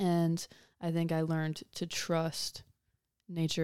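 A woman with an American accent and a dark, mellow tone is heard on a very clean recording with a silent background. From Ohio, US Midwest. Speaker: fashion designer. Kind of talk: interview.

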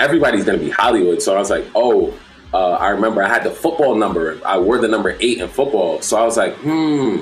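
Over music in the background, a man talks at a very fast pace with very even loudness, and room echo is audible. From Brooklyn, New York. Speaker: DJ. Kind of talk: casual chat.

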